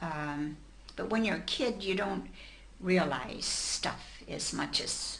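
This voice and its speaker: A woman with an American accent speaks at a very slow pace amid noticeable background noise. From Mansfield, Ohio, USA. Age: 80s+. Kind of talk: interview answer.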